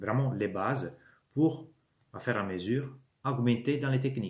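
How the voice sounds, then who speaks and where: A man with an Italian accent, somewhat breathy, at medium pitch with ordinary pitch variation and a fairly slow pace. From Italy. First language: Italian (speaking French). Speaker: YouTuber, miniature wargaming hobbyist. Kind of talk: channel introduction monologue. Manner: hesitant, many fillers.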